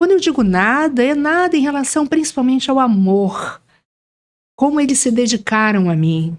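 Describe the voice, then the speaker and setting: A woman's high-pitched voice with very wide pitch swings at a moderate pace. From Brasília, Brazil; moved to Rio as teen. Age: 60s. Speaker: retired schoolteacher, writer. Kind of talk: interview.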